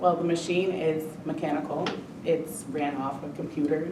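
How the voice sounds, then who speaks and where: Amid noticeable background noise and audible room echo, a woman with a very deep, low pitch speaks at a moderate pace in a monotone, flat intonation. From Puerto Rico. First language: Spanish. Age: 30s. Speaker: factory worker. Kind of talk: interview. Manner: hesitant, many fillers.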